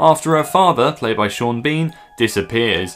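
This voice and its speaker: A man talks at a moderate pace with lively intonation. Light background noise sits behind him. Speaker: film reviewer. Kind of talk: casual vlog review. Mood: sarcastic, joking.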